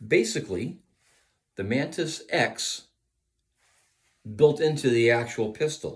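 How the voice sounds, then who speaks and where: A somewhat breathy man talks at a very slow pace with very wide pitch swings. Long pauses come frequently. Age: 60s. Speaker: firearms instructor. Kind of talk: product review.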